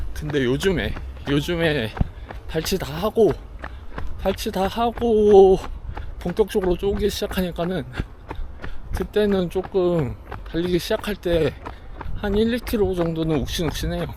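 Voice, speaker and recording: Over noticeable background noise, a man with a high voice speaks fairly slowly, with ordinary pitch variation and long, frequent pauses. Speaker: running vlogger. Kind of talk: casual vlog chat while running. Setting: outdoors on a running path.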